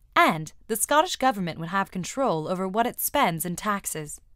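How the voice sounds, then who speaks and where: Over a very clean recording with a silent background, a woman speaks in an American accent at a medium pitch and a moderate pace. She has a plain, everyday voice with lively intonation. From United States. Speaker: explainer video narrator. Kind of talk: scripted narration. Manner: clear, measured.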